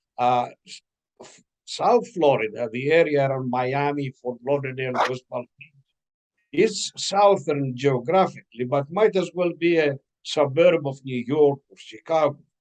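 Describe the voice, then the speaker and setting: In a Greek accent, a man with a fairly high pitch talks at a fairly slow pace, his pitch varying in an ordinary way, loudness swinging widely, and the sound dry and close with no echo. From Greece (Mount Pelion village). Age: 80s+. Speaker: author. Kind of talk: interview conversation. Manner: halting with fillers.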